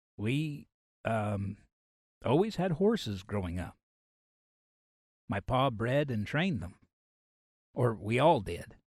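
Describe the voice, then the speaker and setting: A gravelly, put-on character voice moves through very wide pitch swings at a fairly slow pace against a quiet background. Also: man. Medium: read story.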